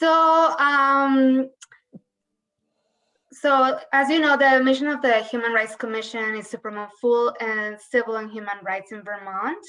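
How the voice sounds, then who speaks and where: A woman with a Colombian accent speaks at a high pitch with a bright, sharp tone. Her pace is fairly slow, her loudness swings widely, and her pitch varies in an ordinary way. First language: Spanish. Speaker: human rights official. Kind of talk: legislative testimony.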